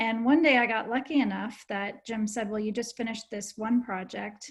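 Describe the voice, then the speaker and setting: At a fairly quick pace, a woman speaks in a fairly high pitch, somewhat breathy and with fairly even intonation. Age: 50s. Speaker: documentary film director. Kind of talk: panel discussion. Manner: hesitant, many fillers.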